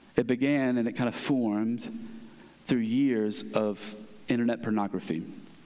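Using a plain, everyday voice, a man talks at a moderate pace and medium pitch, with very even loudness and fairly even intonation. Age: 30s. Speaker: pastor. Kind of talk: sermon.

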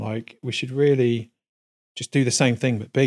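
Speaking with a London accent, a man moves at a fairly quick pace with ordinary pitch variation. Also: dry, close sound with no echo. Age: 40s. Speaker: cinematographer and music producer. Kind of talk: casual chat. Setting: home studio.

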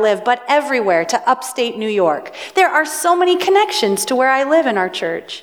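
With a Pacific Northwest accent, a woman speaks at a high pitch and moderate pace, with audible room echo and noticeable background noise. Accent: Pacific Northwest American. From US Pacific Northwest. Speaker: pastor. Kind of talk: sermon.

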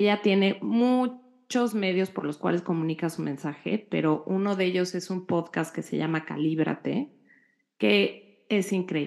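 At a fairly slow pace, a woman speaks in a plain, everyday voice at medium pitch with ordinary pitch variation. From Mexico. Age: 40s. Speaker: podcast co-host. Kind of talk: casual chat.

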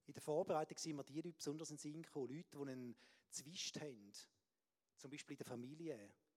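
Talking at a very fast pace yet with long, frequent pauses, a man with a fairly high pitch shows ordinary pitch variation. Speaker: preacher. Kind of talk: sermon.

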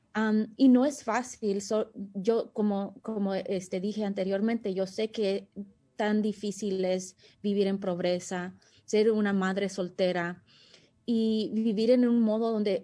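A woman talks very slowly with fairly even intonation. Her tone is dark and mellow. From United States, Salvadoran family. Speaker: community volunteer and mother. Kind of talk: interview. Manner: halting, many fillers.

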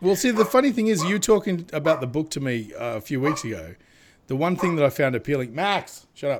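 A man's voice at a fairly quick pace, with very wide pitch swings. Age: 30s. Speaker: podcast host and comic illustrator. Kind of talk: casual chat. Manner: animated.

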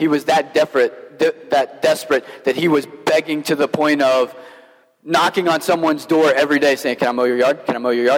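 Over noticeable background noise, a man with a fairly high pitch talks at a fairly quick pace, his loudness very even and his intonation fairly even. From Kentucky. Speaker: pastor. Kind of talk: sermon.

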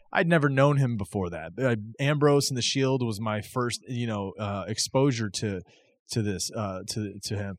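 A man talks in an unremarkable speaking voice at a medium pitch. His pitch variation is ordinary. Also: moderate pace, very clean recording, silent background. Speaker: wrestling podcast host. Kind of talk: casual chat.

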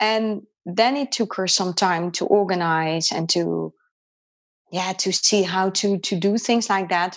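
A woman with a Dutch accent speaks at medium pitch and a fairly slow pace. Her intonation is fairly even. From Netherlands. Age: 40s. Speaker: qigong and energy healing practitioner. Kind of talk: interview. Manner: halting.

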